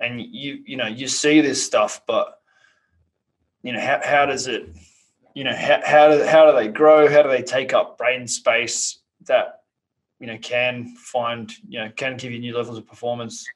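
A man with an Australian accent and big swings in loudness. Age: 30s. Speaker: podcast host. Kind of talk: interview.

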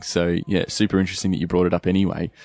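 Speaking at a fairly quick pace with an Australian accent, a man sounds enthusiastic, his very deep, low voice recorded with a dry, close sound and no echo. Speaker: podcast host. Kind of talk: interview. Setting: on location at the roastery.

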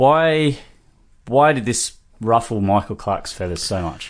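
At a moderate pace, a man with an Australian accent speaks in a medium pitch with very wide pitch swings against a quiet background. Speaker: sports podcast host. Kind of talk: casual chat.

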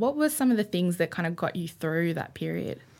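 Lively in intonation, a woman with an Australian accent and a fairly low pitch speaks at a very fast pace. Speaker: podcast co-host. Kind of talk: casual chat. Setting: studio.

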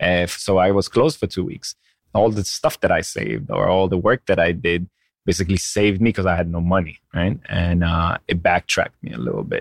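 A man with an Israeli accent speaks at a fairly quick pace in a very deep, low voice with vocal fry and ordinary pitch variation, recorded very cleanly against a silent background with a dry, close sound and no echo. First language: Hebrew. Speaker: chef and restaurant owner. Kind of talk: interview.

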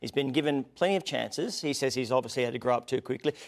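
A man's fairly high-pitched voice with an Australian accent. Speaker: sports show host. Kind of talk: live sports panel show banter. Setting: studio. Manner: animated, jokey.

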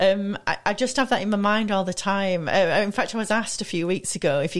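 Very fast pace with ordinary pitch variation on a very clean recording with a silent background. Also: woman. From Manchester, northern England. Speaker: entrepreneur and speaker. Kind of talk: radio interview.

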